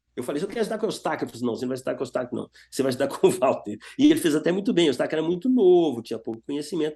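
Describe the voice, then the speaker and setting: A man's voice, fairly high in pitch with a dark, mellow tone, moves through very wide pitch swings. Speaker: guitarist and guitar teacher. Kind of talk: interview.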